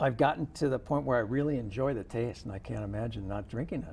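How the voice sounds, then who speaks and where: A man talks with lively intonation and vocal fry. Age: 50s. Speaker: interview guest on health show. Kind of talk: interview.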